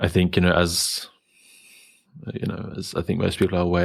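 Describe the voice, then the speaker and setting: At a very fast pace, a man with a slight German accent speaks in a very deep, low pitch with monotone, flat intonation. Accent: slight German, taken for South African. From Germany. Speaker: podcast host. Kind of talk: casual interview conversation. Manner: hesitant, many fillers.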